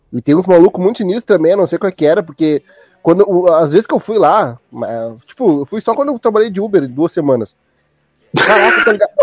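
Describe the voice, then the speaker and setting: A man with a Gaúcho Brazilian accent speaks at a very fast pace with long, frequent pauses, a high pitch and lively intonation, in a dry, close sound with no echo. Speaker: podcast host. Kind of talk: casual chat.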